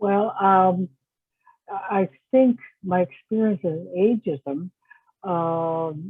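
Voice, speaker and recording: A woman's medium-pitched voice at a very slow pace, with long, frequent pauses. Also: ordinary pitch variation. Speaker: researcher and advocate for older adults. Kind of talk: interview answer.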